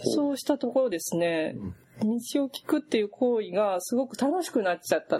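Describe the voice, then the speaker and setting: With noticeable background noise, a woman speaks fairly quickly at a fairly high pitch, her voice swinging very widely in pitch and making big jumps in loudness. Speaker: interviewer, magazine editor. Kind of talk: interview. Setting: office. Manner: polite, formal.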